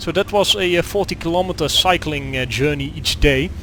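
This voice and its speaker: Over noticeable background noise, a man with a Dutch accent speaks at a fairly quick pace with lively intonation. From Netherlands. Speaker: gaming video creator. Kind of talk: gameplay commentary. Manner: halting, many fillers.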